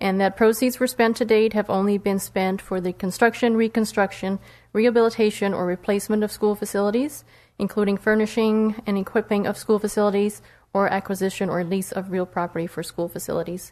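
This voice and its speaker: A woman with a normal speaking voice, medium pitch, fairly quick pace and fairly even intonation, over a quiet background. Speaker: citizens oversight committee member. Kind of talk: formal report presentation.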